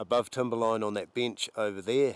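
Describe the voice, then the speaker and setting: A man speaks with a New Zealand accent in a monotone, flat intonation. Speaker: hunting guide. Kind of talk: field narration during a hunt. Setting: outdoors.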